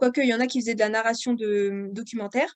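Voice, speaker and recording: Ordinary pitch variation in a fairly high female voice. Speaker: author and audiobook narrator. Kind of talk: podcast interview. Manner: hesitant, many fillers.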